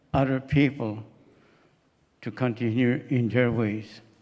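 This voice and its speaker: A man speaks with a Maritime Canadian accent. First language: Mi'kmaq. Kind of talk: ceremonial welcome. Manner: halting.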